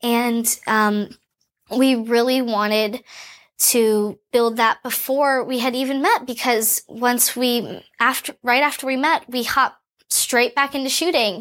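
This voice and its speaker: A woman's high voice at a fairly slow pace with fairly even intonation, on a very clean recording with a silent background. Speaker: actress. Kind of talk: press interview. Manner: giggly.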